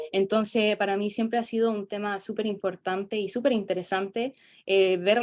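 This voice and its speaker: Her pitch sits in the middle of a woman's range. The woman talks fairly slowly. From South America. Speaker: student presenter. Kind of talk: academic conference presentation. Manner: halting, many fillers.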